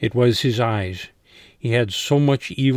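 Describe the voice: The text is read plainly aloud, its pitch varying in an ordinary way.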